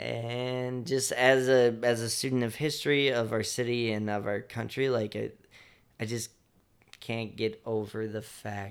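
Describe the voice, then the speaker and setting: An ordinary speaking voice from a man with an American accent, medium-pitched, at a fairly slow pace with fairly even intonation. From Chicago, South Side. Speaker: nonprofit founder, outdoor educator. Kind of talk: casual chat.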